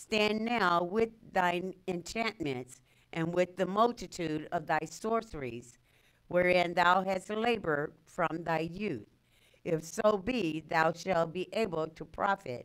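A woman's fairly low voice at a very slow pace. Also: ordinary pitch variation. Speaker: scripture reader. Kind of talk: reading aloud scripture.

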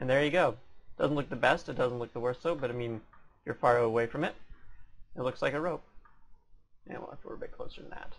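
A man's very fast speech with big swings in loudness and long, frequent pauses. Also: medium pitch for a man, ordinary pitch variation. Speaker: 3D modeling tutorial creator. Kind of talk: tutorial. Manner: fast talker; casual, slightly sloppy.

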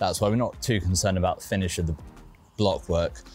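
A man with a very deep, low pitch talks at a fairly quick pace in a dry sound with no echo, with faint music in the background. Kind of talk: tutorial walkthrough. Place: garden.

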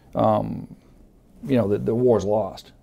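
This man's tone is dark and mellow, with vocal fry. He moves along at a moderate pace. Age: 50s. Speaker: prison warden and military veteran. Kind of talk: emotional interview testimony. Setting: room with several people, on the road. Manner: halting, many fillers and repeats.

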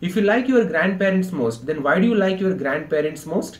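Delivered at a fairly quick pace, the speech carries audible room echo. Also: man. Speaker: english teacher. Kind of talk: lecture. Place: home room.

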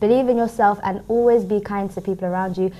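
A woman with a London accent talks at medium pitch in a dark, mellow tone, her intonation fairly even. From London, England. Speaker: youth worker and graduate. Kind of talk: studio interview. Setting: TV studio.

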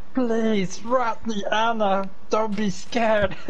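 A female-sounding, put-on character voice drags at a very slow pace amid clear background noise. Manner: creepy, pleading.

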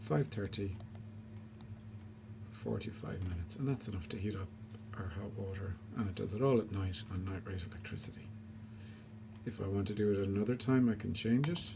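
A fairly quick pace over noticeable background noise. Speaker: homeowner demonstrating controller. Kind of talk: tutorial. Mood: calm, explanatory. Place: home room. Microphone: phone near.

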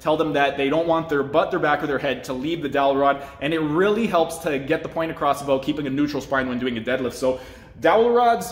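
There is audible room echo as a man speaks at a very fast pace. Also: ordinary pitch variation. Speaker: health coach. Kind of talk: tour and tutorial. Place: gym. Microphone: phone near.

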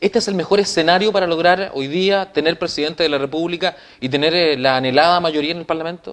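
A man's high-pitched voice at a very fast pace, with ordinary pitch variation. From Chile. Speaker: TV news presenter. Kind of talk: TV interview. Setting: TV studio. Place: studio. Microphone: lapel.

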